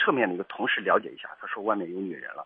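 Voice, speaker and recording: Here a man is speaking. His pace is very fast. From rural China, coal-mining area. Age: 30s. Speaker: caller. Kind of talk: phone-in consultation. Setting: phone call. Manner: halting, stammering repetitions.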